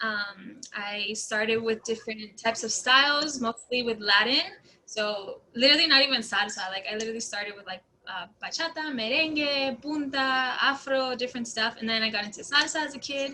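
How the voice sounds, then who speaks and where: Fairly high in pitch with ordinary pitch variation, a woman with an ordinary speaking voice talks at a moderate pace with big swings in loudness. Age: 20s. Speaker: dancer and college student. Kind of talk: casual interview.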